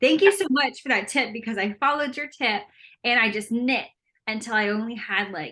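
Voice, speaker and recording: Loud and animated, a woman with a fairly high, bright and sharp voice talks at a fairly quick pace with lively intonation. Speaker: knitting podcast co-host. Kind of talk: casual chat.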